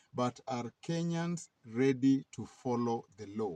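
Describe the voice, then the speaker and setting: A somewhat breathy man speaks in a dark, mellow tone with very wide pitch swings, the sound dry and close with no echo. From Kenya. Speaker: political commentator. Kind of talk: weekly news commentary.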